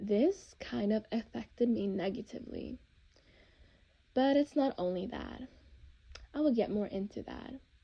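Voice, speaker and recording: A woman speaks at a fairly slow pace in a fairly high, somewhat breathy voice with ordinary pitch variation and long, frequent pauses. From Norway. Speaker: vlogger. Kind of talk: personal testimony. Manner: halting.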